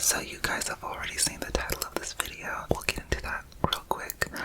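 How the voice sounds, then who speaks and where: Someone speaks in a whisper. Noticeable background noise runs underneath. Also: woman. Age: 20s. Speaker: ASMR creator. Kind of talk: ASMR storytime ramble. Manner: whispered, casual, rambling.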